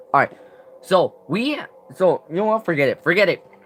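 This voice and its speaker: A man speaks in a raised, projected voice. Noticeable background noise runs beneath him. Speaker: gaming youtuber. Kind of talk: live stream commentary. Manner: halting, many restarts.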